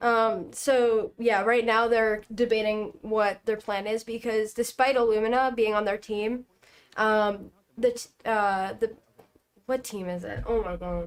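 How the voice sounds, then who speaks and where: Fairly high-pitched woman's voice, fairly slow, with monotone, flat intonation. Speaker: Minecraft esports analyst. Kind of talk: casual livestream commentary. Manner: quiet. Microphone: volume too quiet.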